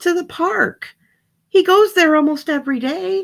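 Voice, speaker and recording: This is a put-on character voice that sounds female, squeaky and high-pitched. The pace is moderate. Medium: read story.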